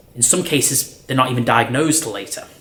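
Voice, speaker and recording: A man at a very fast pace, with ordinary pitch variation, amid noticeable background noise. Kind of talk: talk to camera. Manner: loud; animated.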